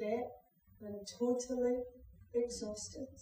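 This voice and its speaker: Someone with a Scottish accent speaks very slowly. Room echo can be heard. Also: woman. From Scotland. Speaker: actor playing a young mother in a drama. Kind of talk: dramatic monologue, acted performance. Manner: weary, sad, heartfelt. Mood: sombre, confessional. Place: stage. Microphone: camera far.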